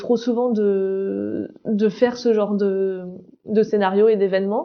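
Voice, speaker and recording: Woman's voice with monotone, flat intonation. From southern France. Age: 30s. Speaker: founder of an accessibility project, wheelchair user. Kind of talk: interview testimony. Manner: hesitant, many fillers.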